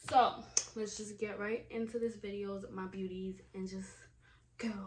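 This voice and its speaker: Noticeable background noise sits behind this recording. A woman with a medium pitch talks at a fairly slow pace. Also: big swings in loudness. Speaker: beauty YouTuber. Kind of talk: casual makeup vlog chat. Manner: animated.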